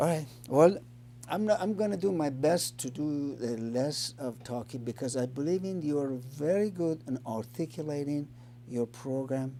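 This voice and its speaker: Speaking at a fairly slow pace with ordinary pitch variation, a man with an Iranian accent has a dark, mellow tone. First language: Farsi. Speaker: addiction recovery show host. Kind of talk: interview. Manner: halting.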